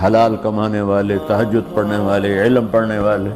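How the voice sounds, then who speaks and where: With music playing in the background, a man speaks in a fairly low voice. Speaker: Islamic preacher. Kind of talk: Islamic sermon (bayan). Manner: emotional, motivational, passionate.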